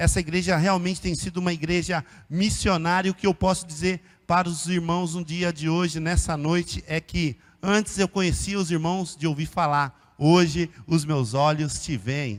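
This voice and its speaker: A man with a high pitch talks at a moderate pace with ordinary pitch variation. The recording is very clean, the background silent. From interior of São Paulo state, Brazil (Araraquara). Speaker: missionary pastor. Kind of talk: sermon. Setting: church.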